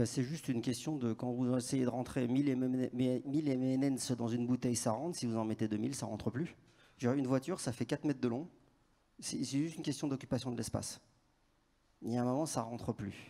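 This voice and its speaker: A man speaks at a fairly quick pace in a medium pitch, his tone dark and mellow and his intonation fairly even. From Paris, France. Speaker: conference speaker, telecom network strategist. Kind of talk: conference Q&A. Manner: casual, hesitant with restarts.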